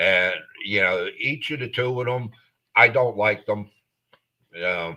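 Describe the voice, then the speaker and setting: This man has a bright, sharp tone and an American accent. He speaks at a medium pitch with ordinary pitch variation. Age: 60s. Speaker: sports podcast co-host. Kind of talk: casual chat. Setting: live podcast.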